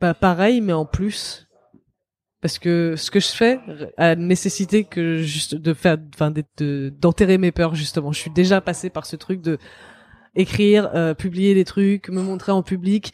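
A normal speaking voice from a woman, fairly low in pitch with ordinary variation, at a fairly slow pace, in a very clean recording with a silent background and a dry, close sound with no echo. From France. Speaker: author and feminist. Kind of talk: interview.

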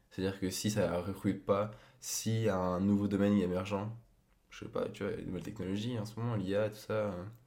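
A man with a fairly low pitch and a dark, mellow tone talks at a fairly quick pace in monotone, flat intonation, with audible room echo. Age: 20s. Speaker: podcast guest, host's boyfriend. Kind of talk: casual chat.

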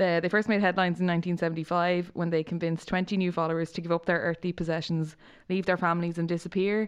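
Against a quiet background, a woman talks very fast in an Irish accent, her fairly low voice monotone and flat, with very even loudness. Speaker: podcast co-host. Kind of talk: casual chat.

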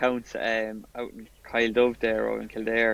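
This man speaks with an Irish accent. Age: 30s. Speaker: amateur golfer and police officer. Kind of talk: casual chat.

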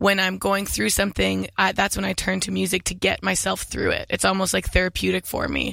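Keeping a moderate pace, a woman talks with hardly any pauses. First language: English (speaking French). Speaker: singer-songwriter. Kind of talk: interview. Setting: studio.

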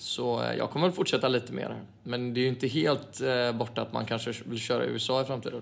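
A man talks at a very fast pace with a medium pitch. His pitch variation is ordinary. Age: 20s. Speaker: footballer. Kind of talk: casual chat.

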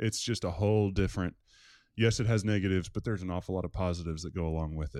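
In an American accent, a man talks at a very fast pace with a very deep, low pitch and a dark, mellow tone, on a very clean recording with a silent background. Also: ordinary pitch variation. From Maryland, near Washington D.C. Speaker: campus pastor. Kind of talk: interview.

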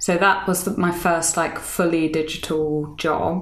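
With a British accent, a woman speaks in a fairly low, monotone voice with flat intonation, with audible room echo and noticeable background noise. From UK. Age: 30s. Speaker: author and fashion writer. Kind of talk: casual interview.

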